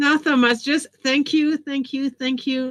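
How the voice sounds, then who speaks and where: A somewhat breathy woman with a French accent, at a moderate pace. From France. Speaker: education author and trainer. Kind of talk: interview.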